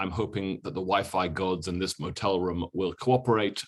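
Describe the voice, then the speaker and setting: At a moderate pace, a man with a British accent speaks in a fairly low voice. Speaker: history professor. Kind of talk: lecture. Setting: video call from a motel room.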